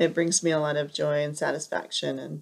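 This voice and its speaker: A soft-spoken woman with an American accent talks at a moderate pace with fairly even intonation. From Southern California. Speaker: piano teacher. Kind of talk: video interview.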